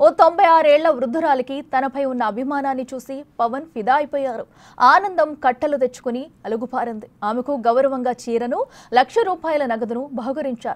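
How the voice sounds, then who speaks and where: Her pitch is high for a woman, and this woman speaks with ordinary pitch variation. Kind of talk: TV news narration.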